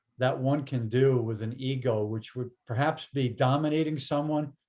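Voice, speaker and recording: A man talks at a fairly slow pace, his medium-pitched, somewhat breathy voice showing ordinary pitch variation. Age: older, aging. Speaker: interview host. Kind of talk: casual interview conversation. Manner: halting, many false starts.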